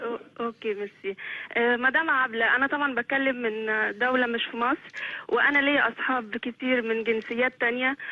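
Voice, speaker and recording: A woman speaks in a high voice. Her intonation is fairly even. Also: moderate pace. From Egypt. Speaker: TV viewer calling in. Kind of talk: phone-in call. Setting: phone call. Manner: halting.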